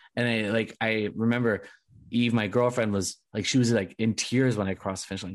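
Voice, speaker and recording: Speaking in a plain, everyday voice, a man goes at a fairly quick pace with medium pitch and ordinary pitch variation. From Southern California. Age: 20s. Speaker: podcast host. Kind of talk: casual interview chat.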